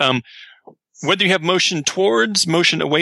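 A bright, sharp tone with vocal fry comes through at a moderate pace. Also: man. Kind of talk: casual podcast discussion. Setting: remote call.

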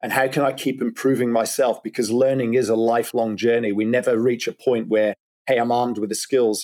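On a very clean recording with a silent background, a man speaks at medium pitch. His delivery is fairly quick, with monotone, flat intonation. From Scotland. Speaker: keynote speaker and author. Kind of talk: interview.

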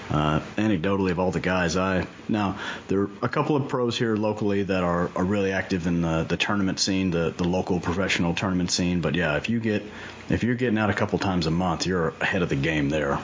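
Very deep and low in pitch, a man talks at a very fast pace with very even loudness and ordinary pitch variation over noticeable background noise. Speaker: podcast host. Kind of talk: casual interview.

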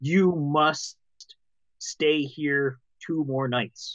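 A booming, put-on character voice sounds at a middle pitch. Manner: commanding.

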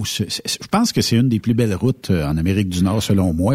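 With lively intonation, a man speaks in a somewhat breathy voice, the sound dry and close with no echo. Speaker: radio host. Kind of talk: casual chat.

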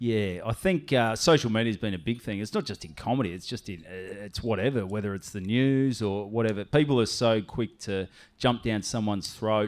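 Someone with an Australian accent talks at a fairly quick pace, with ordinary pitch variation and hardly any pauses. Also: man, fairly low pitch for a man, very clean recording, silent background. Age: 30s. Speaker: comedian. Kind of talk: casual chat.

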